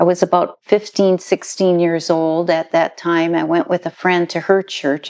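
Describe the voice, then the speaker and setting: In a quiet background with a dry, close sound and no echo, a woman with an American accent speaks at a moderate pace in a fairly low pitch, her intonation monotone and flat. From US Midwest, northern Minnesota. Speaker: missionary. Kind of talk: interview, personal testimony.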